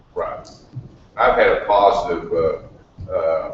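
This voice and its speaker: Noticeable background noise and audible room echo are present. Over them, a man talks. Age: 60s. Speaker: retired construction worker, audience member. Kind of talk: audience question and comment.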